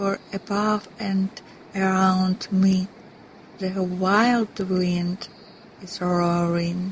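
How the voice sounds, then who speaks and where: With a Russian accent, a woman speaks very slowly at a medium pitch in a monotone, flat intonation over noticeable background noise. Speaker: actress. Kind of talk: poetry reading.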